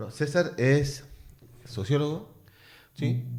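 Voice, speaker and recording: Somewhat breathy, a man speaks at a very slow pace with audible room echo around him. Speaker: radio host. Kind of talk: radio interview.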